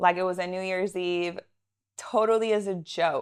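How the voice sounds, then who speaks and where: A woman talks with a Southern California accent at a medium pitch. Her intonation is monotone and flat. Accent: American, Southern California. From Israel, moved to San Diego in seventh grade. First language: Russian. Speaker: realtor and entrepreneur. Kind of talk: podcast interview. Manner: casual, chatty.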